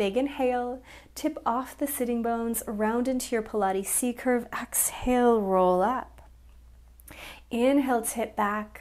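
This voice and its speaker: A woman with a high pitch speaks in a warm, upbeat tone at a fairly slow pace. The background is quiet. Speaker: Pilates and yoga instructor. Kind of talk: guided workout class with breath-paced counting cues. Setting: home studio video recording. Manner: brisk, rhythmic cueing, counting down repetitions; warm, encouraging, upbeat. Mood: calm, encouraging. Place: home room.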